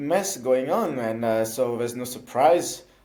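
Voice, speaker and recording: A man with a slight French accent, dark and mellow in tone, at a moderate pace with ordinary pitch variation, in audible room echo. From France. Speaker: elected councillor for citizens abroad. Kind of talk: interview. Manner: halting, many fillers.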